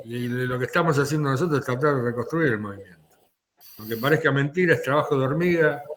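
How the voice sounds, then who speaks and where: A man with a fairly high pitch delivers his words at a very fast pace. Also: ordinary pitch variation. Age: 70s. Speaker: political commentator. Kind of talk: political discussion.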